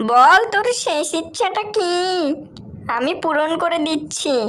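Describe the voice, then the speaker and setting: A cartoonish character voice cackles at a fairly slow pace. Light background noise sits underneath. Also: female-sounding voice, extremely high pitch for a woman. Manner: gloating, cackling.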